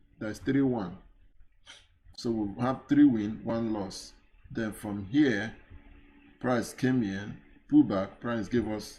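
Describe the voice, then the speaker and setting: With audible room echo, a man at medium pitch speaks very slowly, leaving long, frequent pauses. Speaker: forex trading instructor. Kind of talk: live trading tutorial. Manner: halting, with fillers.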